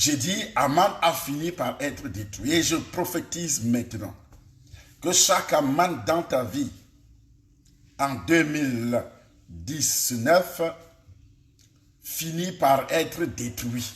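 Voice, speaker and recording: Pausing long and often, a man with a fairly high pitch and vocal fry speaks at a very slow pace amid audible room echo. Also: lively intonation. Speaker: pastor. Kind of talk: sermon. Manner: soft-spoken; articulated.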